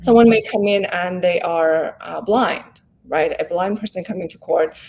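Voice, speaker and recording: With ordinary pitch variation and a moderate pace, a woman speaks in an unremarkable speaking voice. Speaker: law professor and development expert. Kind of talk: interview.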